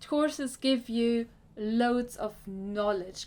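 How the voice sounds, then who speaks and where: With a German accent, a woman speaks very slowly in a fairly high voice with ordinary pitch variation. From Germany. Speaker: career coach. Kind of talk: vlog talk to camera. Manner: halting, with self-corrections.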